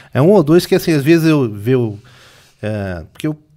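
Here a man talks at a fairly quick pace. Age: 40s. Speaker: retro game collector and seller. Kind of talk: casual interview chat. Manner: calm.

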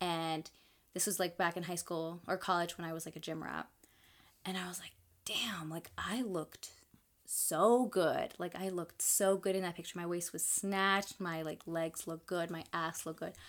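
The recording is very clean, with a silent background. A woman in a normal speaking voice talks at a moderate pace and a fairly low pitch, with fairly even intonation. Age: 20s. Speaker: podcast co-host. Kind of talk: casual chat.

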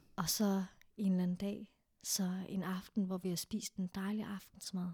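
A woman speaks in a monotone with flat intonation, at a medium pitch. Her voice is somewhat breathy, with a dark, mellow tone. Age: 30s. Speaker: sexologist and therapist. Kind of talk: casual chat.

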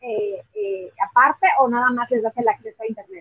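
Here a woman talks with a Mexican accent. Her pace is moderate. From Mexico. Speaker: podcast host and activist. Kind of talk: interview.

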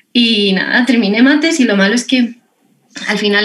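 A woman speaks with ordinary pitch variation. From Lorca, Murcia, Spain. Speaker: textbook designer. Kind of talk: casual chat. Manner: animated.

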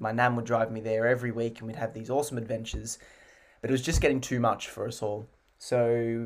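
Flat and monotone, a man speaks at medium pitch with an Australian accent. His pace is fairly quick. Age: 20s. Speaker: musical theatre actor. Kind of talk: interview.

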